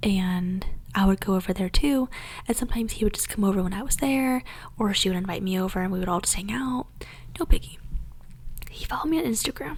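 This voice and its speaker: Her pace is very fast, yet she leaves long, frequent pauses. This woman's pitch swings very widely. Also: medium pitch for a woman. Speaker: ASMR content creator. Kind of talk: whispered ASMR story time. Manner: whispered, soft, casual storytelling.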